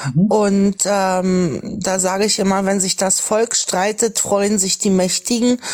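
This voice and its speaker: The speech goes very slowly, with very even loudness and fairly even intonation. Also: woman, medium pitch for a woman. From Lower Saxony, Germany. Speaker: livestream participant. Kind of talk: casual chat.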